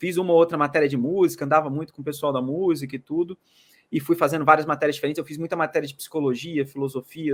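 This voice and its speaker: Very fast speech with ordinary pitch variation on a very clean recording with a silent background. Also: man. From Brazil, Minas Gerais. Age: 20s. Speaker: market analyst. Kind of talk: interview.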